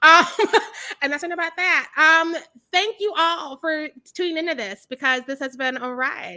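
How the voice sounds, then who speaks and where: A woman's raised, projected voice, bright and sharp, animated in tone, at a moderate pace with ordinary pitch variation, on a very clean recording with a silent background. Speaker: horror film reviewer, interviewer. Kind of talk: casual interview. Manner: loud.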